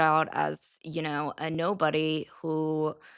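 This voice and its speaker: In an American accent, a woman talks with an animated tone that is bright and sharp. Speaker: journalist and podcaster. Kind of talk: interview.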